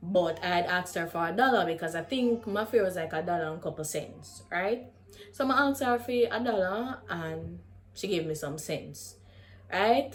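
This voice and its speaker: A woman with a Jamaican accent speaks in an animated tone with lively intonation. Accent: Jamaican, with patois. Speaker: YouTuber. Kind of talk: storytelling.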